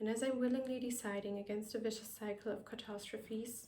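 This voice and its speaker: With a non-native accent, a woman speaks at a fairly quick pace and fairly high pitch in audible room echo. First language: not English. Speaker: vlogger. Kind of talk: personal reflective monologue. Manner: careful, non-native pronunciation.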